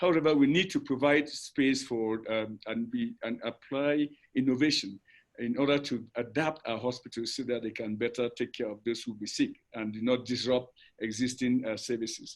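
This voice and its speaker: Against a quiet background, a man speaks at a medium pitch. His intonation is fairly even and his pace moderate. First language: not English. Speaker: public health official. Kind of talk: webinar presentation. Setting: online webinar. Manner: halting, many fillers.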